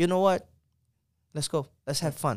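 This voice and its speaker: Moderate pace and fairly even intonation from a man with a Portuguese accent. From Brazil, Santos. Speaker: soccer player and coach. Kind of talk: casual interview.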